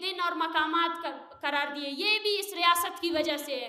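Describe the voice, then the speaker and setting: A woman projects a raised voice with a bright, sharp tone and ordinary pitch variation. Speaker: human rights activist. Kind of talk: public speech at a press club. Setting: outdoor rally or press event. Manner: fiery, impassioned.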